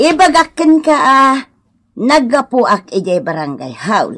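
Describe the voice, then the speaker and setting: Using a put-on character voice, a woman speaks at a very slow pace. Her pitch is high. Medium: audio drama. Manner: firm, accusing.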